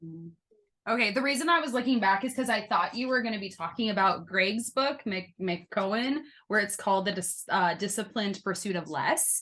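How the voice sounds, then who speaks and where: With an American accent, a woman speaks at a moderate pace in a medium pitch, her tone bright and sharp and her intonation lively. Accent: shifts depending on company. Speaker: podcast host, former foster youth. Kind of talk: casual interview chat.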